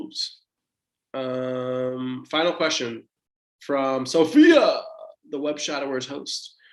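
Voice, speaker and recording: A man with an American accent. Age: 20s. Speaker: medical resident physician. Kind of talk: Q&A talk to students. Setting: livestream. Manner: casual, encouraging.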